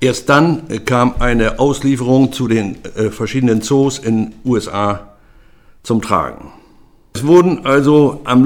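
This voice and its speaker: A man's medium-pitched voice, very slow in pace, with ordinary pitch variation. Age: 70s. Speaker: retired freight forwarder. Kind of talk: oral history testimony.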